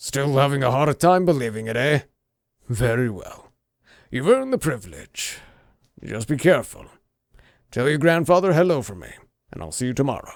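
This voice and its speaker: Putting on a raspy character voice, a man of medium pitch speaks at a moderate pace with lively intonation and long, frequent pauses. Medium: read story. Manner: jovial, paternal.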